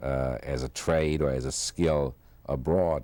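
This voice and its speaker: In a German accent, a man speaks at a very deep, low pitch with a dark, mellow tone and monotone, flat intonation, on a very clean recording with a silent background. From Germany, Frankfurt. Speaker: Holocaust survivor. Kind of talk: oral history interview. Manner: halting, many fillers.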